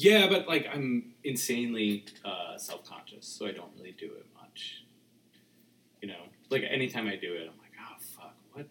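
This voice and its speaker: A man speaks with an American accent at a medium pitch and a moderate pace, his pitch swinging very widely. Noticeable background noise runs underneath. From suburban New Jersey. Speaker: guest. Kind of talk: casual chat.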